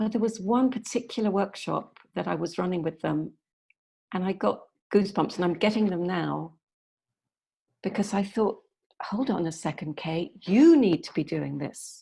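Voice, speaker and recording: The voice has a dark, mellow tone and vocal fry, moving at a moderate pace with ordinary pitch variation and long, frequent pauses. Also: woman, medium pitch for a woman. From northern England, Yorkshire. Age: 60s. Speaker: youth workshop facilitator. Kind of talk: podcast interview.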